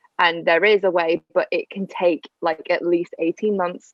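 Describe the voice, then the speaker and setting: Her intonation fairly even, a woman speaks in a fairly low pitch with a British accent. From England. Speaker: au pair and podcast co-host. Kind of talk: casual chat.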